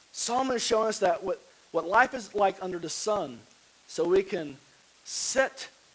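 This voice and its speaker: This man talks at a fairly slow pace. Behind him there is noticeable background noise. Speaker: pastor. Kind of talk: sermon.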